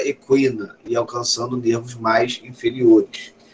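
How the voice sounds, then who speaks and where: A man talks fairly slowly at a medium pitch with ordinary pitch variation, in an unremarkable speaking voice. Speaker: professor. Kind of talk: lecture.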